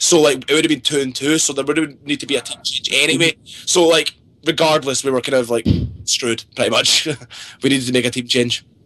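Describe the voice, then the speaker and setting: With a strong Scottish accent, a man talks at a very fast pace, his fairly high pitch held to fairly even intonation. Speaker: pro video game player. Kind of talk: podcast interview.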